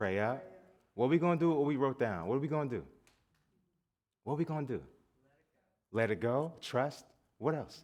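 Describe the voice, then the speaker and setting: With a slight Southern US accent, a man speaks at a fairly quick pace and a medium pitch, his tone animated. He leaves long, frequent pauses, and the background is quiet. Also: lively intonation. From US South (Atlanta) and New Jersey. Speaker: guest minister. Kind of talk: sermon. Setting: church service with congregation. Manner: animated, call-and-response.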